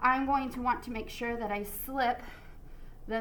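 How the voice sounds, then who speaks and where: Audible room echo surrounds a woman speaking in a bright, sharp, upbeat tone. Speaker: art teacher. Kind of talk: tutorial. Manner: casual, upbeat.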